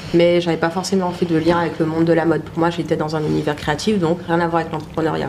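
Noticeable background noise mixes with audible room echo in this clip. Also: woman. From Guadeloupe. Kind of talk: casual interview on a livestream. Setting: studio livestream with camera. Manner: hesitant, many fillers.

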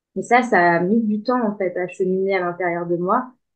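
In a monotone, flat intonation, a woman speaks fairly slowly. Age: 30s. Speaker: life coach. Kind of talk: interview. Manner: hesitant, many filler words.

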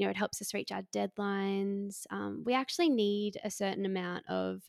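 Here a woman speaks with an Australian accent. The sound is dry and close, with no echo. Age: 20s. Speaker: psychotherapist. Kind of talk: interview.

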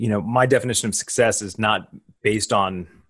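A man with an American accent at a fairly low pitch and moderate pace, ordinary pitch variation, quiet background, an unremarkable speaking voice. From grew up on US Army bases in the US and Germany. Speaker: futurist and graduate school professor. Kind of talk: podcast interview.

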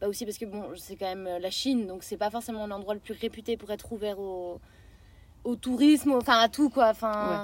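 Speaking quickly in a plain, everyday voice, a woman with a fairly high pitch keeps her intonation fairly even while her loudness swings widely, all on a very clean recording with a silent background. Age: 20s. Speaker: traveller. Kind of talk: casual chat, travel storytelling.

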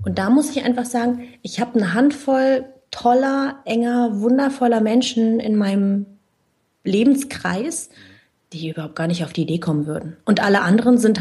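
Lively in intonation, a woman with a fairly high pitch and a dark, mellow tone speaks at a moderate pace. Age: 20s. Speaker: finance blogger. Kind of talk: interview.

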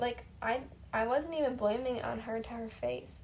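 The speech is fairly slow, with noticeable background noise and audible room echo. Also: woman. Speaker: personal podcaster recording for partner. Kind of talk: casual monologue.

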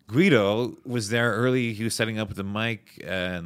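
Speaking in a Montreal accent, a man holds a fairly low pitch with fairly even intonation. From Montreal, Quebec. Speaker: comedian. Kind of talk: casual chat.

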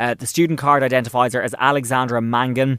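In a very clean recording with a silent background, a man with an Irish accent talks at a fairly quick pace in a medium pitch. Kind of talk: casual chat, recapping a TV episode.

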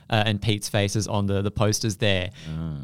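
With an Australian accent, a man speaks at a moderate pace and with ordinary pitch variation on a very clean recording with a silent background. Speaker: comedy podcast co-host. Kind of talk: casual comedic chat.

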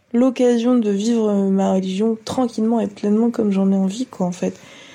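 A woman's dark, mellow tone, somewhat breathy. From France. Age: 20s. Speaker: testimony contributor. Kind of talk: testimony.

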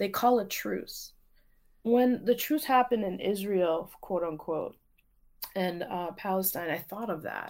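In a very clean recording with a silent background, a woman speaks fairly slowly at medium pitch with lively intonation, an unremarkable speaking voice. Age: 40s. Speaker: teacher and poet. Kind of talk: casual interview.

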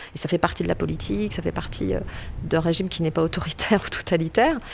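A woman is talking. Her pace is fairly quick. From rural France. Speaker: political scientist. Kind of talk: interview. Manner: hesitant, repeats words.

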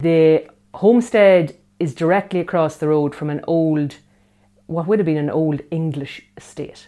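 Speaking in an Irish accent, a woman with a dark, mellow tone and fairly low pitch uses ordinary pitch variation. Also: fairly slow pace. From Ireland, near Dundalk, County Louth. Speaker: niece of the late poet. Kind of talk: documentary interview.

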